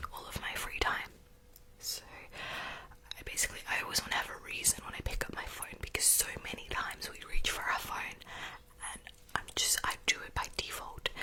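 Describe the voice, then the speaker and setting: A fairly quick whisper comes through noticeable background noise. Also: woman. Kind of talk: casual ramble to camera about new year resolutions. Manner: whispered, soft-spoken.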